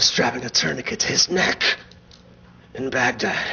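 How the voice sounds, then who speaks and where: At a moderate pace, a man speaks while noticeable background noise carries on behind him. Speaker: actor and performance poet; soldier character in a film. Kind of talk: performance poetry.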